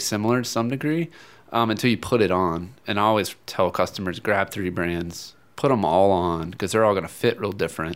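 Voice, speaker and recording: A man with a normal speaking voice and a fairly low pitch speaks at a fairly quick pace. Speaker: running store expert. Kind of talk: casual interview. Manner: relaxed, conversational.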